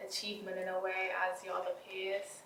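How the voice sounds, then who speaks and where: Fairly slow, medium-pitched female speech with audible room echo. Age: young. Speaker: young person sharing views. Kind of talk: personal testimony to camera.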